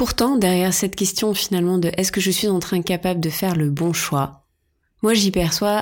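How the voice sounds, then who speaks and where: A woman at a medium pitch with ordinary pitch variation, in a very clean recording with a silent background. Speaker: podcast host and horse owner. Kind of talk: solo podcast monologue. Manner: spontaneous, unscripted.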